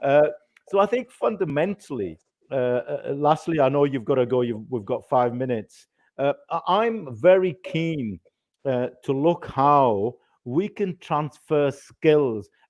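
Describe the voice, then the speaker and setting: A man with a Yorkshire accent talks fairly slowly, his fairly high voice carrying lively intonation. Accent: Bradford. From Bradford, northern England. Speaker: panel moderator. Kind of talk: panel discussion. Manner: halting.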